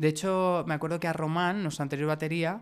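This man's voice sits high in pitch, with fairly even intonation. The recording is very clean and the background silent. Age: 30s. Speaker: pop band singer and songwriter. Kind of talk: casual chat.

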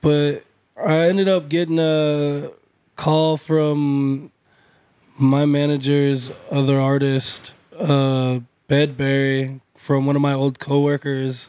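A fairly high-pitched man with a Midwestern American accent, dark and mellow in tone, monotone and flat, very even in loudness, at a very slow pace with long, frequent pauses. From Iowa (Burlington). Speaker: hip hop artist. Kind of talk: casual interview.

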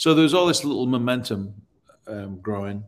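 A man with an American accent is speaking. His pace is fairly quick. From northern England, Leeds. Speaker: real estate broker. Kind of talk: interview.

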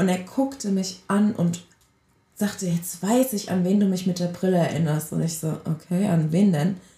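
A woman speaks with a dark, mellow tone, a somewhat breathy quality and ordinary pitch variation. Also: medium pitch for a woman, moderate pace. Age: 20s. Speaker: podcast co-host. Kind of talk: casual chat.

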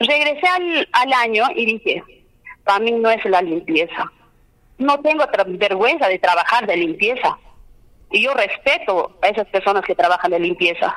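A woman talks at a fairly high pitch with very wide pitch swings. Her loudness stays very even, and her pace is moderate. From Peru, Cusco region (Limatambo). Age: 30s. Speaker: candidate for justice of the peace. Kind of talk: campaign interview.

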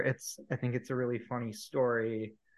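Against a quiet background, a man with a Midwestern American accent speaks at a moderate pace. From US Midwest, Cleveland area, Ohio. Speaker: PhD student in conservation genetics. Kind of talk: casual interview.

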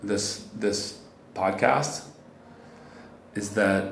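A man speaks very slowly at a fairly low pitch. Audible room echo and noticeable background noise fill the recording. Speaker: meditation teacher. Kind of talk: casual interview. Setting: busy co-working space.

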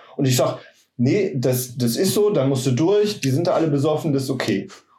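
The man's pitch sits fairly high and his intonation is lively. He keeps a moderate pace amid audible room echo. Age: 40s. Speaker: office worker and yoga practitioner. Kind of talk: casual chat.

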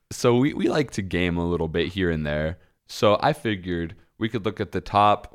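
A man speaks at a fairly quick pace in a fairly low pitch, with ordinary pitch variation. He has a plain, everyday voice. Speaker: podcast host. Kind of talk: casual chat. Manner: jokey, laughs often.

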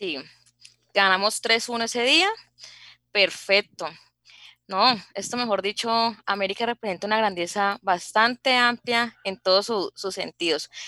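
A woman at medium pitch with a bright, sharp tone, fairly slow pace, and long, frequent pauses, in a dry, close sound with no echo. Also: ordinary pitch variation. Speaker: university secretary and radio co-host. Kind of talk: radio talk show. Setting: studio.

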